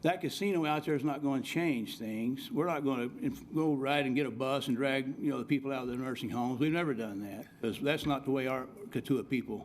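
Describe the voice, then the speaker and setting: Talking at a fairly quick pace with hardly any pauses, a man with a rural Oklahoma accent keeps a medium pitch and ordinary pitch variation. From Oklahoma, Cherokee County. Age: 60s. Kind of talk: public meeting rebuttal. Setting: city commission meeting.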